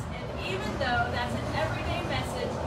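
Loud background noise runs under the speech. The pace is moderate. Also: woman. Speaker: pastor. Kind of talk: prayer; devotional message with scripture reading. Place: street.

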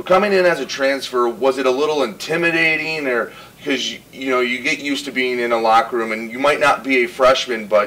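Pitch variation is ordinary as the words come at a fairly quick pace. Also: man. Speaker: college radio interviewer. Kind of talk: interview question.

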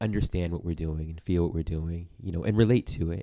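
Over a quiet background, a man talks in a very deep, low, dark and mellow voice with ordinary pitch variation. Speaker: minister. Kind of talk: sermon. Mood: warm, conversational. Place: home room. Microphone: studio mic.

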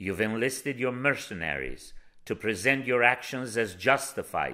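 This man's tone is bright and sharp, with vocal fry, at a moderate pace. The recording is very clean, the background silent. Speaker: protest statement reader. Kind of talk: rally speech, solemn defiant protest statement read aloud. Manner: forceful, emphatic, declamatory with a repeated call of 'Hear us, Norway'; formal, measured, accusatory.

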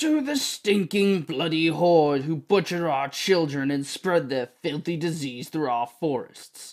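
A man performs a put-on character voice at a fairly high pitch. His pace is fairly slow, with hardly any pauses. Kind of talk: audiobook reading. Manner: bitter, mocking.

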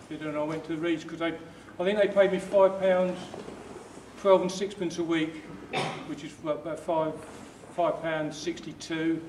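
Amid light background noise and audible room echo, a man speaks very slowly at a high pitch, his intonation monotone and flat and his loudness swinging widely. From southern England. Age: 60s. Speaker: retired engineer. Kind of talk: interview answering student questions. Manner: halting. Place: hall. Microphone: camera far.

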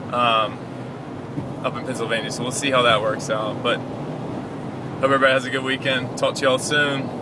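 A man talks at a moderate pace, recorded dry with no echo, with noticeable background noise. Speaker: tv personality vlogger. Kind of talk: casual vlog chat. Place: car. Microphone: phone near.

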